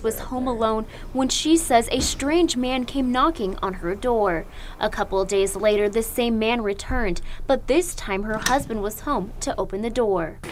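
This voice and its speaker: Lively intonation marks this woman's fairly high voice. She speaks at a moderate pace in a normal speaking voice. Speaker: TV news reporter. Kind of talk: TV news reporting, stand-ups and packages.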